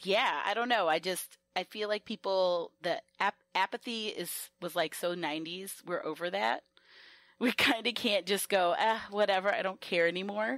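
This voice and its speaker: A woman with an American accent, medium pitch, ordinary pitch variation and a moderate pace, in a dry, close sound with no echo. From US South. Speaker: sex educator. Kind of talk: podcast interview. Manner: casual, halting with false starts.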